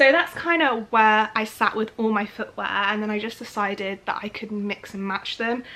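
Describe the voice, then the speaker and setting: A woman's bright, sharp tone at a fairly high pitch, with ordinary pitch variation and a moderate pace. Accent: British. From United Kingdom. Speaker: lifestyle vlogger. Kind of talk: casual chatty talk to camera. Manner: chatty, informal.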